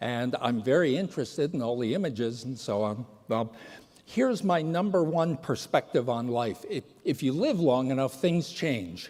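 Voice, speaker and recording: With a plain, everyday voice, a man talks at a moderate pace and medium pitch, his intonation lively. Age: 60s. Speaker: patient advocate and speaker. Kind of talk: conference talk. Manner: casual.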